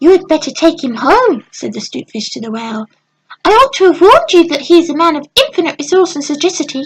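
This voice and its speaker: Putting on a squeaky character voice, a woman races along at a very fast pace at an extremely high pitch. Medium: read story. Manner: small, sly.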